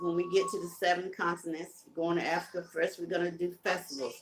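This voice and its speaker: A woman with a Southern US accent talks at a moderate pace with ordinary pitch variation. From Carolinas, US South. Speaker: live-stream host, music promoter. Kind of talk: casual live-stream chat. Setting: live video stream.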